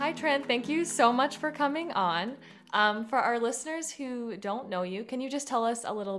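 In a plain, everyday voice, a woman speaks at a moderate pace, fairly high in pitch, with lively intonation. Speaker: podcast co-host. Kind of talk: interview conversation.

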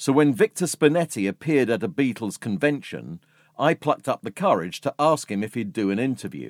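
On a very clean, dry and close recording with a silent background and no echo, a man with a North London accent speaks at a moderate pace and medium pitch, with vocal fry and very wide pitch swings. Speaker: podcast host and music journalist. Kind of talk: scripted narration.

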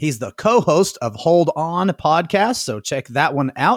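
Sounding dry and close with no echo, a man's voice comes through. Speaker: podcast host. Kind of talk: casual podcast interview. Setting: studio, recorded remotely.

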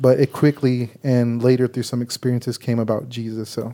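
In a dark, mellow tone, a man speaks at a medium pitch. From San Antonio, Texas (west side). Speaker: ministry associate, healing minister. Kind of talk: interview about faith story. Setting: studio.

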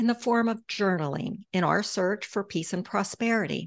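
This woman has a plain, everyday voice at a medium pitch. She talks at a moderate pace over a quiet background. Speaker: podcast host, financial advisor. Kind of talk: casual interview.

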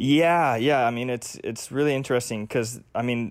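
An ordinary speaking voice from a man of medium pitch, with fairly even intonation and a moderate pace, on a very clean recording with a silent background. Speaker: paramedic. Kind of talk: casual chat.

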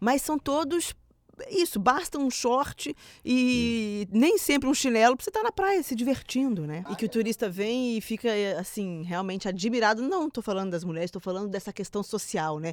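Very wide pitch swings from a woman with a fairly high voice, at a moderate pace. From Minas Gerais, Brazil. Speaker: podcast host. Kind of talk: casual chat. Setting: studio.

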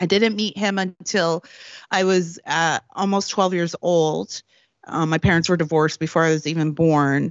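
A woman with a plain, everyday voice speaks at a fairly low pitch and a moderate pace. Her intonation is fairly even and her loudness very even. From Canada, Prince Edward Island. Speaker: political commentator and author. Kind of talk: interview.

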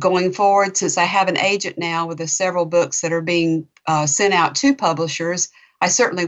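This woman speaks with a Southern US accent. Her fairly low voice keeps a fairly even intonation. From North Florida, Chattahoochee. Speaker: novelist. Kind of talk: interview.

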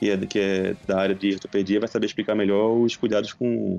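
A man with a fairly low pitch speaks in a monotone, flat way. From Pernambuco, Brazil. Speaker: dentist. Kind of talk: casual chat.

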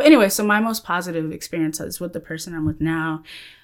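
A woman with an American accent and a plain, everyday voice speaks fairly quickly with lively intonation, in a very clean recording with a silent background. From Central Texas. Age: 30s. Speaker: anti-trafficking educator. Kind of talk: casual interview.

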